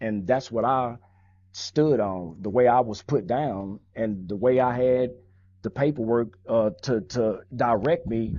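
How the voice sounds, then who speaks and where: The speaker is a man with an American accent and a normal speaking voice. He talks fairly slowly at a medium pitch, with ordinary pitch variation. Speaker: former gang member. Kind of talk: interview. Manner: casual, street slang.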